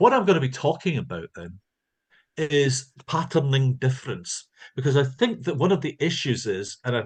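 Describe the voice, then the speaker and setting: Speaking at a moderate pace in a Scottish accent, a man with a fairly high pitch and vocal fry uses lively intonation. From Scotland. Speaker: linguistics professor. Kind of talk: lecture.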